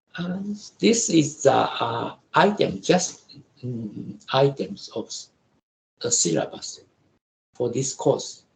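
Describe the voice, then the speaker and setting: The speech comes with a Japanese accent. Its pace is very slow. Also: man. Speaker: professor. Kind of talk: lecture. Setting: video call. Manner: halting.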